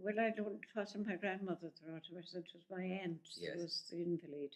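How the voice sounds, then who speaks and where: A woman with an Irish accent, fairly low in pitch, at a fairly quick pace and with fairly even intonation. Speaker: retired nurse. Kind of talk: interview answer.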